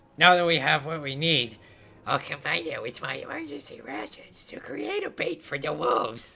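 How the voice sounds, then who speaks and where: A man puts on a character voice that is raspy and nasal. It sits fairly high in pitch and moves at a moderate pace. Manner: pinched, as if holding nose.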